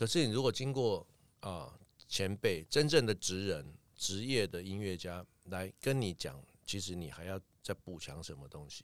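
Lively in intonation and with big swings in loudness, a man speaks at a moderate pace in a very deep, low voice. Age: 50s. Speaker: music producer and academy principal. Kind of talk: interview.

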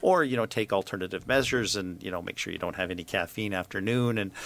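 A man's low, fairly bright voice with vocal fry and lively intonation.

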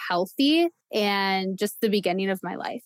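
A woman speaks in a normal speaking voice at medium pitch and a moderate pace. The sound is dry and close with no echo. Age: 20s. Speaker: abuse survivor and social work student. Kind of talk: interview testimony.

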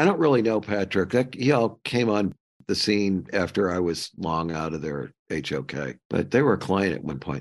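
Over a quiet background, a man with an American accent and vocal fry speaks at a fairly low pitch and moderate pace, with very wide pitch swings and hardly any pauses. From US Midwest, St. Louis. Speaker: architecture firm consultant. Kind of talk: casual chat.

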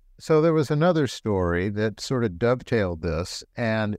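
A man with a normal speaking voice and a fairly low pitch speaks at a moderate pace with lively intonation. The sound is dry and close with no echo, over a quiet background. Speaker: doctor. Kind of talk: medical explanation.

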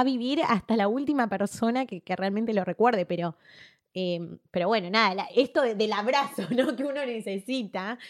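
A woman speaks at a fairly high pitch with lively intonation. The recording is very clean, dry and close, with a silent background and no echo. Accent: Argentine. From Argentina. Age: 30s. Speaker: public relations graduate. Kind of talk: casual interview chat. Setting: host's room. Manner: fast.

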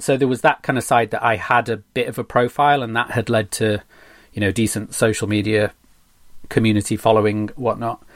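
A man's normal speaking voice at medium pitch, with fairly even intonation and a moderate pace, on a very clean recording with a silent background. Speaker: graphic designer. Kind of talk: casual interview.

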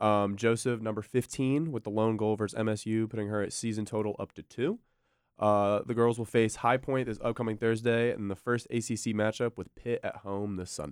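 A man speaks with an American accent in a plain, everyday voice at a medium pitch. His pace is fairly quick and his intonation fairly even. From North Carolina, near Charlotte. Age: young. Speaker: college sports podcast co-host. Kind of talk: casual chat.

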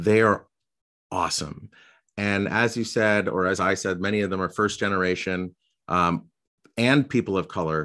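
Against a quiet background, a man with a fairly low pitch and ordinary pitch variation speaks at a moderate pace with long, frequent pauses. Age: 40s. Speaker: podcast host. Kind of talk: interview conversation.

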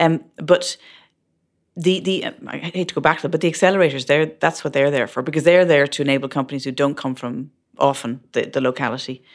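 In an Irish accent, the speaker moves at a fairly quick pace with ordinary pitch variation. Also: woman, very deep, low pitch for a woman, very clean recording, silent background. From Ireland. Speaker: startup founder and CEO. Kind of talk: interview. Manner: halting, many fillers.

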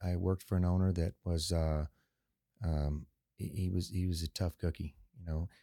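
A man with a very deep, low pitch and a dark, mellow tone keeps very even loudness and fairly even intonation, with long, frequent pauses, in a dry, close sound with no echo on a very clean recording with a silent background. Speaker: car dealership owner. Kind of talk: casual interview chat. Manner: calm, measured.

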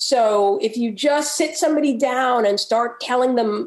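A woman with an American accent speaks in a high pitch at a moderate pace. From New York. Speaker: magazine editor and film critic. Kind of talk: interview.

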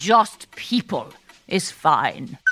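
A woman's put-on character voice, fairly low-pitched and fairly bright, with big pitch swings at a very slow pace.

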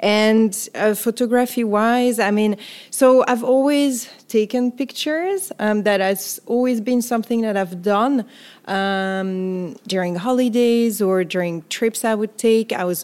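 A woman with a fairly high pitch and ordinary pitch variation speaks at a fairly slow pace in a very clean recording with a silent background. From France, Paris. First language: French. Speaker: photographer. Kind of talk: interview.

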